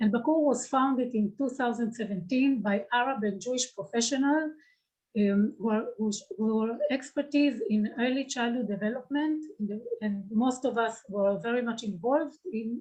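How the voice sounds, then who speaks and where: Her voice has a dark, mellow tone, as this woman speaks at a moderate pace with a fairly high pitch and ordinary pitch variation. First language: Hebrew. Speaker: social worker and nonprofit founder. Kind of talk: grant presentation, partly read. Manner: halting.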